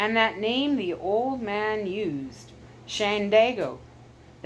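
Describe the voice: Ordinary pitch variation in plain reading aloud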